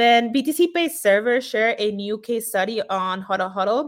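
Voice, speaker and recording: A woman's speech moves at a moderate speed, and her pitch varies in an ordinary way. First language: not English. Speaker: news segment presenter. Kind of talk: news recap. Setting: remote, at home on couch.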